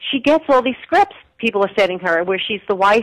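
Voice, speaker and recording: A woman's very fast speech in an American accent, medium in pitch with very wide pitch swings, dry and close with no echo. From New York. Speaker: women's history presenter. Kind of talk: interview.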